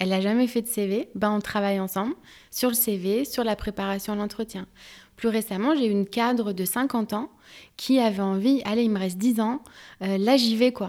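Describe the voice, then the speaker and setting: Fairly high in pitch with fairly even intonation, a woman speaks at a moderate pace. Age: 30s. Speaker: HR professional and career coach. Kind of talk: interview.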